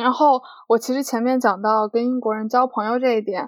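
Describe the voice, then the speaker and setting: Pitched high, a woman talks at a moderate pace. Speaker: international student. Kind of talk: casual chat.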